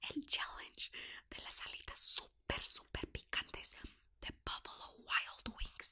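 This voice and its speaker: Whispering, a woman speaks at a very slow pace. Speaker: vlogger. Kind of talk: casual talk to camera. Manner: casual, talkative. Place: home room.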